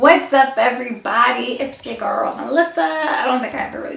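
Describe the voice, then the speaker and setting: A woman projects a raised voice at high pitch. Noticeable background noise and audible room echo surround her. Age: 30s. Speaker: vlogger. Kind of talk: casual vlog. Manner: rambling, casual.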